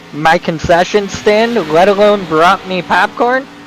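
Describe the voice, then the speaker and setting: Speaking at a fairly slow pace with ordinary pitch variation, a man is heard against noticeable background noise. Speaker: sim racing commentator. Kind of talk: live commentary.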